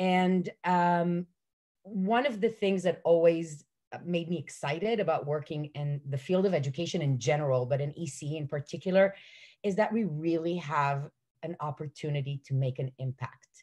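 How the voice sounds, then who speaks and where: At a moderate pace, a woman speaks with a fairly low pitch, ordinary pitch variation and a dark, mellow tone against a quiet background. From Israel. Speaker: early childhood educator. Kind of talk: panel talk. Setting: video call. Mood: warm, enthusiastic. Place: home room. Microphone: video call.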